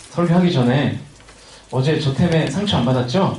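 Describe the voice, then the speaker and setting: Audible room echo and noticeable background noise around a man with lively intonation. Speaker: youth pastor. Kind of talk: sermon. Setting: winter retreat service with congregation. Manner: casual, joking with audience.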